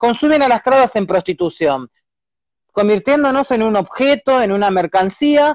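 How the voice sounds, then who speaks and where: A woman talks at a moderate pace with lively intonation, recorded with a dry, close sound and no echo. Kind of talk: interview. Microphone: laggy internet connection.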